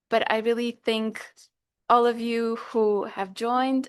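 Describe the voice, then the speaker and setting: Against a quiet background, a woman with a Portuguese accent speaks fairly slowly at a fairly high pitch. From Portugal. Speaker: dietitian. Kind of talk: workshop talk. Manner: hesitant, with fillers.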